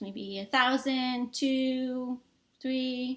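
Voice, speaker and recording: A woman is speaking. Her voice sits high in pitch. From Massachusetts, US. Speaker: tech strategist, engineer. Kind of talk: online summit presentation, sales pitch. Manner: animated.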